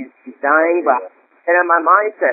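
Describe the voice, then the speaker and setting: Speaking at a fairly quick pace, a man with an American accent has a high pitch. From New York City. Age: 20s. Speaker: college student and network marketer. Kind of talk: testimony. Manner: halting.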